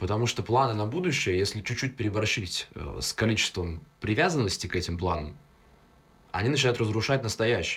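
Speaking at a fairly quick pace, a man with fairly low pitch uses lively intonation and long, frequent pauses. The recording is very clean, with a silent background. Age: young. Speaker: public speaking coach. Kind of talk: casual chat. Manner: articulate.

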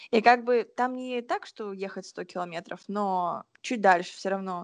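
Lively intonation marks this woman's speech at a moderate pace. The sound is dry and close with no echo, and the background is quiet. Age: 20s. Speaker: podcast co-host. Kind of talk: casual chat. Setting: remote recording.

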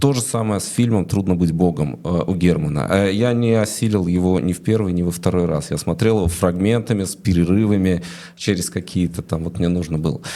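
With ordinary pitch variation, a man speaks at a very deep, low pitch. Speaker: interviewer host. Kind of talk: interview conversation. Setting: studio.

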